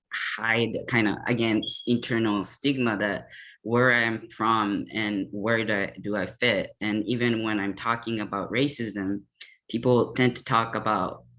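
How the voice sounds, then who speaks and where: This man has a Japanese accent and a bright, sharp tone at medium pitch, speaking fairly slowly in a monotone, flat intonation. The recording is very clean with a silent background. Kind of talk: panel discussion.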